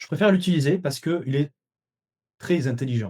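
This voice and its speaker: A man's dark, mellow, somewhat breathy voice, fairly high in pitch, with lively intonation. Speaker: dietitian and webinar trainer. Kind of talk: webinar lecture. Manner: fast; hesitant, many fillers.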